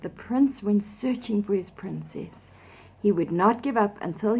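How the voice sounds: The clip presents a natural reading voice.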